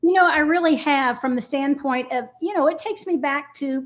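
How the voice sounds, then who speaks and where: The pace here is moderate. The speaker is a woman. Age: 60s. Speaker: shooting sports team lead. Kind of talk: casual interview.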